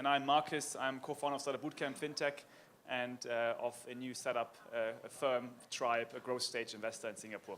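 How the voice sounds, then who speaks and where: With a German accent, a man speaks at a medium pitch and with fairly even intonation. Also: moderate pace. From Germany. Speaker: panel moderator. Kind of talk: conference panel discussion.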